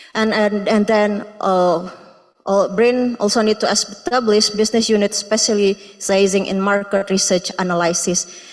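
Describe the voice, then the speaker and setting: A woman with an Indonesian accent speaks at a medium pitch in a flat monotone, her loudness very even throughout. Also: moderate pace. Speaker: research intern presenting at symposium. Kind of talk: presentation. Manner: halting, many fillers.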